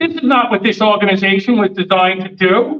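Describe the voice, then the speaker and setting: This man speaks loudly with lively intonation. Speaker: attorney. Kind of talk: speech at community meeting. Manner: loud, projecting; animated.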